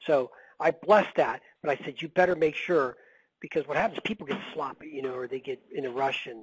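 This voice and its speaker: A man's fairly high, somewhat breathy voice with an animated tone, ordinary pitch variation, a fairly quick pace and a dry, close sound with no echo. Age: 60s. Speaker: medical billing consultant. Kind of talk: webinar Q&A.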